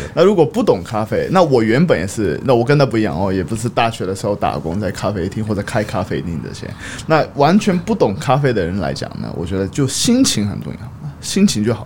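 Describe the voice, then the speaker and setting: A man speaks at a fairly quick pace in a fairly low voice, his pitch swinging very widely over noticeable background noise. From Tokyo and Hong Kong. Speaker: coffee brand manager. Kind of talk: casual chat.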